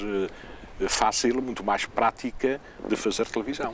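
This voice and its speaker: There is noticeable background noise behind this man. He talks at a moderate pace in a medium-pitched voice. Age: 60s. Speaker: retired television presenter. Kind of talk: interview.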